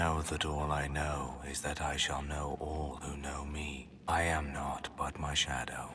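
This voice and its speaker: Using a put-on character voice, a man speaks fairly slowly at a very deep, low pitch with clear background noise behind him. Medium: machinima. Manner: cryptic, archaic.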